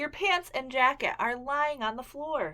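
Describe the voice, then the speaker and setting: In a put-on character voice, a female-sounding speaker talks at a moderate pace with a high pitch for a woman. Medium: read story.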